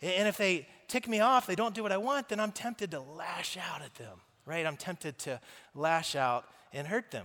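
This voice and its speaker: A man speaks in a raised, projected voice at a high pitch, his tone bright, sharp and animated, with very wide pitch swings and big swings in loudness. He keeps a moderate pace on a very clean recording with a silent background. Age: 40s. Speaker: pastor. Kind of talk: sermon.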